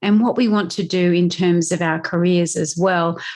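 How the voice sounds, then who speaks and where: Someone with an Australian accent talks at a moderate pace against a quiet background. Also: woman. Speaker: podcast host, mindset coach. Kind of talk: solo podcast talk.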